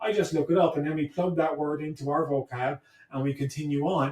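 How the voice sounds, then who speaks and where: A man talks in a Cork accent at a fairly high pitch. His pace is moderate, with ordinary pitch variation. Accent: Cork Irish. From Ireland, Blarney, County Cork. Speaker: history professor. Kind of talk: podcast interview.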